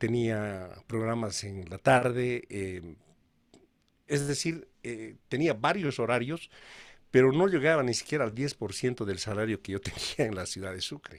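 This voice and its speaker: A man speaks in a plain, everyday voice with lively intonation at a medium pitch. His pace is fairly slow, and the recording is very clean with a silent background. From Bolivia. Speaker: radio announcer. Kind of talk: interview answer.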